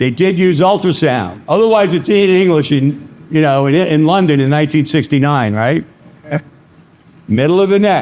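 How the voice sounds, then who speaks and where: Lively intonation and very even loudness mark this voice in a Brooklyn accent, delivered at a moderate pace. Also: man, fairly high pitch for a man. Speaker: vascular access instructor. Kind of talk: lecture. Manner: animated.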